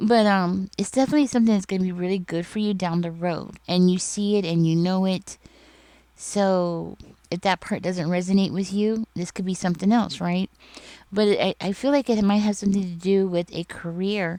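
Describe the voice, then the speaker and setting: A woman's medium-pitched voice, dark and mellow in tone, at a moderate pace with fairly even intonation. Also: very clean recording, silent background. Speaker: tarot reader. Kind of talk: tarot reading monologue. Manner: stuttering in this reading; casual, filler-heavy.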